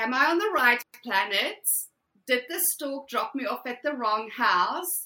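A woman with a South African accent, high-pitched, with a bright, sharp tone at a moderate pace. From South Africa, Afrikaans household. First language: Afrikaans. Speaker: podcast guest. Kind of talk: interview conversation.

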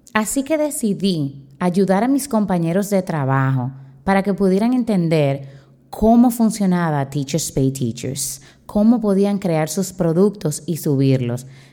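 Over a silent background in a very clean recording, the speaker moves at a fairly slow pace with a dark, mellow tone and very wide pitch swings. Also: woman, medium pitch for a woman. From Dominican Republic. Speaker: teacher and podcast host. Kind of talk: solo podcast talk.

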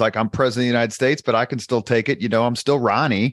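A man with an American accent talks at a medium pitch, the sound dry and close with no echo. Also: quiet background. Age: 50s. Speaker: podcast host, public relations owner. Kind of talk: interview.

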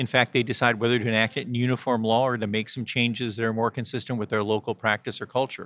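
On a very clean recording with a silent background, a man with a medium pitch races along at a very fast pace in a flat monotone. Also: dry, close sound with no echo. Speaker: lawyer. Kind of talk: interview. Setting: live event recording.

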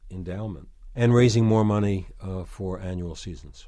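A man with an American accent speaks at a fairly slow pace in a fairly low pitch, his tone dark and mellow, on a very clean recording with a silent background. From New York City. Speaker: former arts center president, author. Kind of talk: interview.

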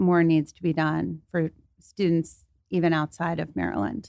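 An unremarkable speaking voice, this woman's sits at a fairly low pitch and moves at a moderate pace. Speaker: college professor and anxiety coach. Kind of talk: interview on anxiety and performance. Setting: studio.

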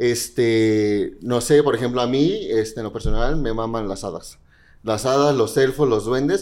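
Moving at a fairly slow pace, the speaker has an unremarkable speaking voice with ordinary pitch variation. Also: man, medium pitch for a man. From Mexico. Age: 20s. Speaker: drag queen. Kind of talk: casual chat.

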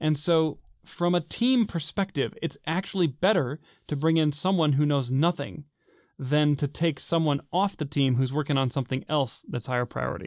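In a very clean recording with a silent background and a dry, close sound with no echo, a man with an unremarkable speaking voice and fairly high pitch talks at a moderate pace with ordinary pitch variation. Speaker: podcast co-host, software engineer. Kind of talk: casual chat.

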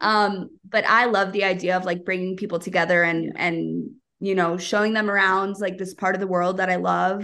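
A woman's medium-pitched voice with an American accent, monotone and flat, with hardly any pauses. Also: moderate pace. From United States. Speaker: dive travel company co-owner. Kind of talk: casual interview chat.

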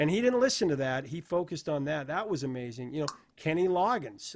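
A man with an American accent speaks in a normal speaking voice at a fairly high pitch and a fairly quick pace, on a very clean recording with a silent background. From Idaho, US. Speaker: music interviewer. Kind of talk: interview.

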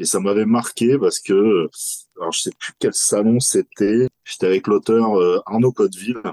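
A man speaks at a fairly slow pace. The sound is dry and close, without echo. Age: 40s. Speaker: horror festival founder and clothing brand creator. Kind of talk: interview.

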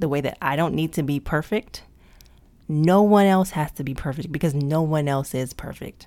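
A woman's dark, mellow tone at a very deep, low pitch, with ordinary pitch variation, a moderate pace and an American accent. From US, Prince George's County, Maryland. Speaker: podcast host. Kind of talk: casual monologue. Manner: laughs big and hearty.

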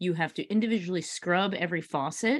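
Against a quiet background, a woman with a medium-pitched voice sounds animated, her intonation lively. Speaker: podcast host. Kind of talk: casual interview. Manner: animated, excitable.

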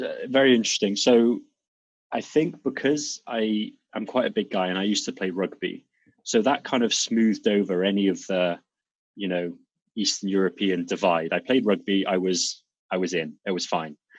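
A man speaks at a moderate pace with a slight Welsh accent. His pitch sits fairly low and varies in an ordinary way. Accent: British English, Welsh-tinged. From Wales, UK (born in Serbia, moved to UK at two). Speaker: doctor and fitness coach. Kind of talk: interview.

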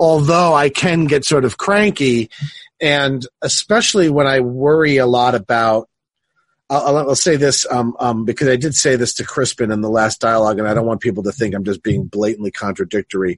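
A man uses an ordinary speaking voice at medium pitch, with lively intonation and a moderate pace. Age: 50s. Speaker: philosophy professor and podcast host. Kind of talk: casual academic conversation.

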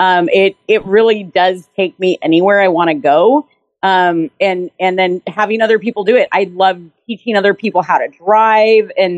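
With a normal speaking voice and an American accent, a woman talks at a moderate pace and medium pitch, with ordinary pitch variation, very even loudness, and a dry, close sound with no echo. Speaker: custom vehicle painter and builder. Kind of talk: casual interview chat.

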